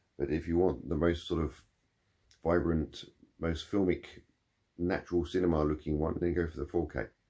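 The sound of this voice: A man's put-on character voice, husky and very deep and low in pitch, with fairly even intonation, a moderate pace and long, frequent pauses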